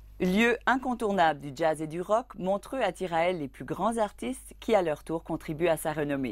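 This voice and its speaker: Lively intonation and hardly any pauses mark this moderate-paced speech on a very clean recording with a silent background. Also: woman, fairly low pitch for a woman. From Acadia, New Brunswick, Canada. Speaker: radio journalist. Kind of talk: documentary narration.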